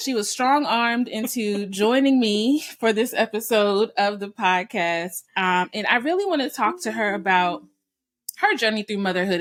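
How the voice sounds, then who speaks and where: At a moderate pace, a woman speaks in an ordinary speaking voice at medium pitch. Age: 30s. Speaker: podcast host. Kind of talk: casual interview chat.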